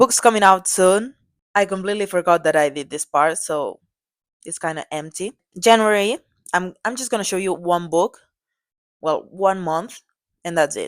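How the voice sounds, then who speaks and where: Using a medium pitch and a non-native accent, a woman speaks with big swings in loudness and long, frequent pauses. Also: ordinary pitch variation, moderate pace. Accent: non-native English, self-described as bad. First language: Catalan. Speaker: book vlogger. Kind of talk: tutorial. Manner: halting; casual.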